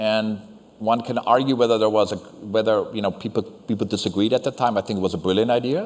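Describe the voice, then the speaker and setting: Rattling along at a very fast pace, a man with a fairly low pitch keeps his intonation fairly even. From Germany (West Berlin). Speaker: university chancellor. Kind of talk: Q&A discussion. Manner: halting, many false starts.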